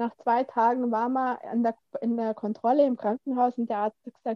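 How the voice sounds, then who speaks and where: A woman speaks at a high pitch with a dark, mellow tone and fairly even intonation. The sound is dry and close, with no echo. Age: 40s. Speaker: course participant. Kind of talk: casual interview. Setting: video call.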